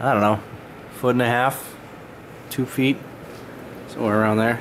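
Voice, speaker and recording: A man at a medium pitch and moderate pace, monotone, flat intonation and very even loudness, with noticeable background noise. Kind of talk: casual talk to camera.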